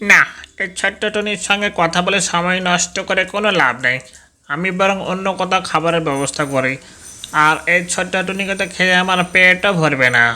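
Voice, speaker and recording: A cartoonish character voice, middle in pitch, at a moderate pace. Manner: sly, wheedling.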